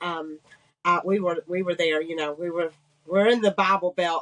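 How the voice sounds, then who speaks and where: Her speech carries a slight Georgia accent at a fairly quick pace. The woman's recording is dry and close, without echo. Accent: slight Georgia Southern. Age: 50s. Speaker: businesswoman sharing survival story. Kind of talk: testimony.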